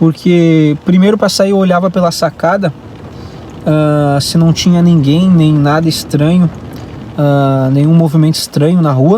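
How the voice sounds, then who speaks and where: A man in a Brazilian accent, fairly high in pitch and fairly slow, with fairly even intonation, very even loudness and noticeable background noise. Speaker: vlogger. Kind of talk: casual vlog monologue. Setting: in a car. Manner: hesitant, many fillers.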